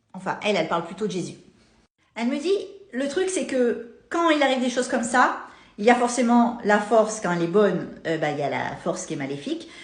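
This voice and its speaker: A woman speaks fairly quickly at a fairly high pitch, her pitch swinging very widely and her loudness shifting a lot. Room echo can be heard. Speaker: content creator. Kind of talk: storytelling to camera. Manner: animated.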